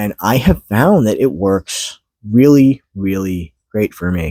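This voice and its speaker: Very slow in pace, a man speaks with a fairly low pitch and ordinary pitch variation. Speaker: YouTuber. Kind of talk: casual vlog monologue. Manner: hesitant with fillers.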